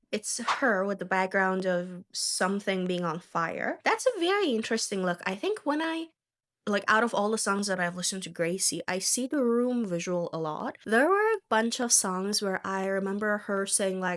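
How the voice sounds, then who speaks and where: A woman's medium-pitched voice with a non-native accent, moderate pace and ordinary pitch variation. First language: not English. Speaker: songwriter music reactor. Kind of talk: casual reaction video.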